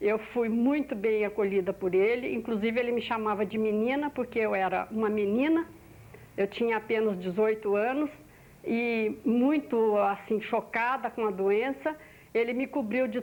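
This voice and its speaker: This woman's fairly high voice rises and falls with ordinary pitch variation. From Brazil, Minas Gerais. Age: 60s. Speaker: oral history interviewee. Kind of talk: oral history testimony. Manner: halting, with repetitions.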